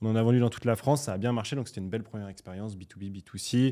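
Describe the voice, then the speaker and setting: This man's fairly low, dark, mellow voice moves at a very fast pace with fairly even intonation. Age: 20s. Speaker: young entrepreneur. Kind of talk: podcast interview.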